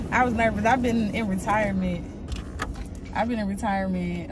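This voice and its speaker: A woman talks at a moderate pace. The sound is dry with no echo, though there is noticeable background noise. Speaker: guest. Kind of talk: casual vlog chat. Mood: playful, joking. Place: car. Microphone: camera far.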